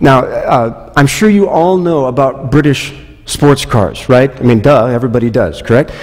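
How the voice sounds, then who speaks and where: The speech moves at a moderate pace with lively intonation. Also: man. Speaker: pastor. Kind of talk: sermon. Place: church.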